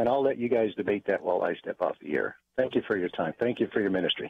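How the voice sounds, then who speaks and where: The man talks at a very fast pace. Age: 60s. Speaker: caller. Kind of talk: call-in comment. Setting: phone call.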